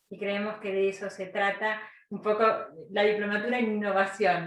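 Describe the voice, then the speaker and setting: In a room with audible echo, a woman talks at a moderate pace and a medium pitch. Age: young. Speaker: lecturer. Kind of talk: lecture.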